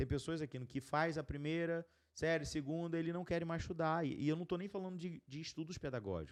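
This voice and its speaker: In a plain, everyday voice, a man with a fairly high pitch and fairly even intonation talks at a fairly quick pace with hardly any pauses against a quiet background. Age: 30s. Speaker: podcast host, entrepreneur. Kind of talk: casual chat.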